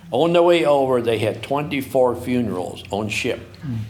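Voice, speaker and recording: A man with an American accent at a moderate pace, with ordinary pitch variation and audible room echo. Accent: Amish Midwestern US English. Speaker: farmer and writer. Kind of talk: moderated conversation. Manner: halting.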